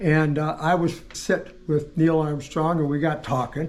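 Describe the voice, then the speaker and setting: A man is heard here. His voice sits high in pitch. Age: 80s+. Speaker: car collector and builder. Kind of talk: casual interview, storytelling.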